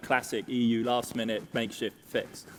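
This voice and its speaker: A man with an English accent. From Germany. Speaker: economics panelist. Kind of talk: panel discussion.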